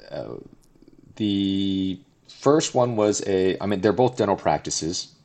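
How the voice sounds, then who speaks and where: A man with an American accent and a fairly low pitch, with long, frequent pauses. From Southern California. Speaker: dentist and startup founder. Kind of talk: interview.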